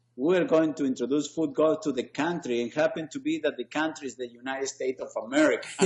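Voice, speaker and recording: Over noticeable background noise, a man with an Argentinian accent and a fairly high pitch talks very fast with hardly any pauses. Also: ordinary pitch variation. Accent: noticeable foreign accent, Argentinian. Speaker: sports league founder. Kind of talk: interview conversation. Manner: hesitant, many fillers.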